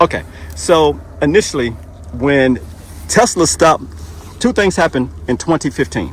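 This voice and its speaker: A man with a medium pitch and vocal fry speaks at a moderate pace, with very wide pitch swings and long, frequent pauses. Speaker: YouTube interviewer. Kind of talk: casual talk to camera.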